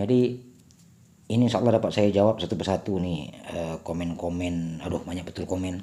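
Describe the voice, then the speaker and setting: A man speaks at a fairly quick pace in a very deep, low voice, with ordinary pitch variation and a slight Batak accent. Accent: slightly Batak-tinged Indonesian. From Sumatra, Indonesia. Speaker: vlogger. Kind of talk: casual vlog chat. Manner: hesitant, filler-heavy.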